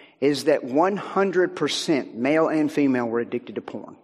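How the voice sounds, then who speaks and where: A man with an American accent speaks at a fairly slow pace and a fairly high pitch, with ordinary pitch variation. He has a plain, everyday voice. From US South, Virginia. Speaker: guest speaker, minister and author on technology. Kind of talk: sermon. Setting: church.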